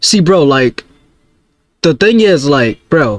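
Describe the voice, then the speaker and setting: A man speaks at a very slow pace. His pitch is fairly high, and the sound is dry and close with no echo. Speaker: YouTube reaction streamer. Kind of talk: casual reaction commentary.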